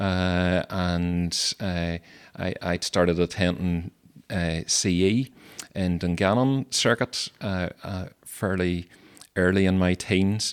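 Very slow and very deep in pitch, a man with a Mid Ulster accent speaks with fairly even intonation in a very clean recording with a silent background. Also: dry, close sound with no echo. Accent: Northern Irish (mid-Ulster). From Northern Ireland, County Tyrone. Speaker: Methodist minister. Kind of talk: interview. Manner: halting, many fillers.

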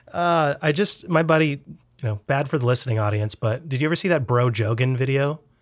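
The recording is very clean with a silent background. A man with a fairly high pitch speaks at a fairly quick pace, with ordinary pitch variation. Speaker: podcast host. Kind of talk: casual comedic chat. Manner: joking, animated.

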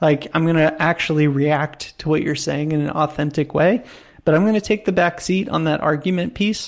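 A man speaks in a normal speaking voice at a fairly high pitch and a moderate pace, with ordinary pitch variation and very even loudness, on a very clean recording with a silent background. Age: 30s. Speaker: podcast co-host. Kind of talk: casual chat.

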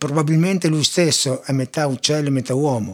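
A man speaks in a normal speaking voice at a fairly quick pace. His pitch is fairly high, with ordinary variation. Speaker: classical music podcaster. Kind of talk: educational talk on music.

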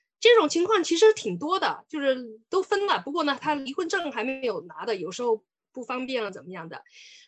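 Very wide pitch swings in a high woman's voice. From China, Sichuan. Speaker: lawyer. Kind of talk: lecture. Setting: online webinar.

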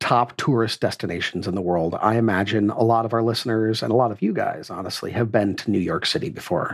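With vocal fry and a slightly husky edge, a man talks at a fairly quick pace.

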